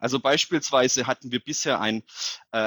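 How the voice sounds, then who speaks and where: A normal speaking voice: a man talking at a moderate pace. The recording is very clean with a silent background and a dry, close sound with no echo. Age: 30s. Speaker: mayor. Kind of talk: interview.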